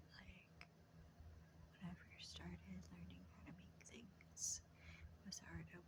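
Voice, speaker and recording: A woman's very deep, low voice in a calm tone. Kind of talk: ASMR whispered ramble. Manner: whispered, soft-spoken, calm, reassuring.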